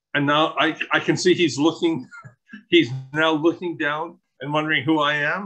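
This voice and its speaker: Music plays in the background as a man speaks at a moderate pace. His pitch is fairly high, with ordinary variation. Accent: Canadian. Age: 60s. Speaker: public meeting speaker. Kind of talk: public comment. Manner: animated.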